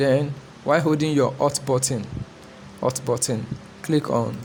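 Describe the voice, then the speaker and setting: A man with fairly even intonation amid noticeable background noise. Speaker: photographer teaching photo editing. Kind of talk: tutorial. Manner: fast; halting.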